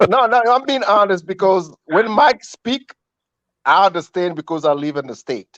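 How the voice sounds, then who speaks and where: In an African accent, a man speaks at a moderate pace in a high pitch with very wide pitch swings. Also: dry, close sound with no echo. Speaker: caller. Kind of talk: casual chat.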